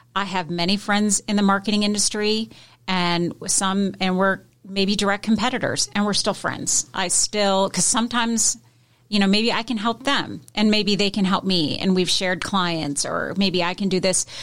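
An ordinary speaking voice comes through on a very clean recording with a silent background. The pace is moderate, the intonation fairly even, and the loudness very even. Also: woman, medium pitch for a woman. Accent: American. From US Pacific Northwest, Seattle. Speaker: marketing agency owner. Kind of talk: casual interview chat. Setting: radio studio.

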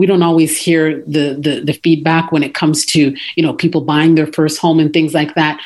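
With a Canadian accent, a woman speaks at a very deep, low pitch and a moderate pace, with monotone, flat intonation, very even loudness, and hardly any pauses. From Canada, Toronto. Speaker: content writing business owner. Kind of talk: interview. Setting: radio studio. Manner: frequent fillers and hesitations.

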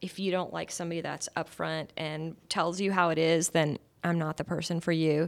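A woman with a normal speaking voice, fairly low pitch and fairly even intonation at a moderate pace, in a very clean recording with a silent background. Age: 50s. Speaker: realtor. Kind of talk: radio interview. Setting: studio.

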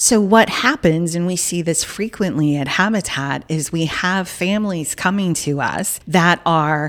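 A woman speaks slightly slowly in an unremarkable speaking voice. Her pitch is fairly low, with ordinary variation. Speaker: nonprofit CEO. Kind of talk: casual interview. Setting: studio.

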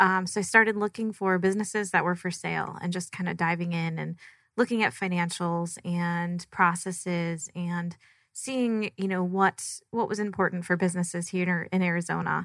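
A woman with an American accent uses a normal speaking voice, fairly low in pitch with fairly even intonation, at a moderate pace. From Michigan. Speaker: small business owner. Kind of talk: interview. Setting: studio.

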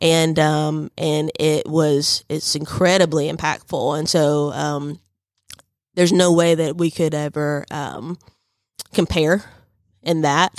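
Very slowly, with long, frequent pauses, a woman with a Southern US accent speaks at a very deep, low pitch in a monotone, flat intonation. The sound is dry and close, with no echo. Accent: Southern US (Georgia). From US South, northwest Georgia. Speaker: university diversity director. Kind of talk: radio interview. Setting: radio studio. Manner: hesitant, many fillers and repetitions.

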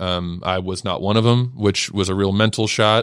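The man's voice is fairly low in pitch, with monotone, flat intonation. The background is quiet. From Georgia (Peachtree City area). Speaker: former pro baseball pitcher. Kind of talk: radio interview, casual chat. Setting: studio.

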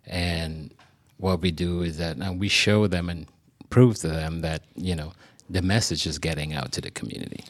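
A man with a very deep, low pitch speaks at a moderate pace, varying his pitch in an ordinary way. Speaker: media sales representative. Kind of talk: radio interview. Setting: studio.

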